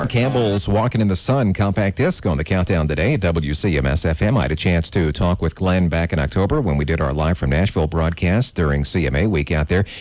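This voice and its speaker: A man with a very deep, low pitch speaks at a fairly quick pace with hardly any pauses, lively intonation and very even loudness, over noticeable background noise. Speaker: radio DJ. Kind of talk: radio DJ intro and commentary.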